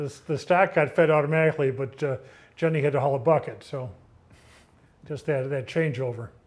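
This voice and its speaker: A man with an American accent, fairly high in pitch and somewhat breathy, with ordinary pitch variation, a fairly quick pace and long, frequent pauses. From western New York, rural Orleans County. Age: 70s. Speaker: retired local farmer, oral history interviewee. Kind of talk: oral history interview. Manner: halting, many fillers and restarts.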